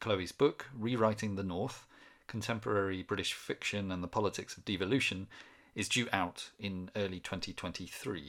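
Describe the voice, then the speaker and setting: An unremarkable speaking voice from a man, fairly low in pitch, at a moderate pace with fairly even intonation and big swings in loudness, in a very clean recording with a silent background. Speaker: podcast host. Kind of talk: interview conversation.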